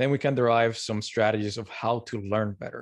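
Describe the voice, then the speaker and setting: A man with a Spanish accent talks at a medium pitch and a moderate pace, with ordinary pitch variation, over a quiet background. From Colombia. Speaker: learning science blogger. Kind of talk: interview.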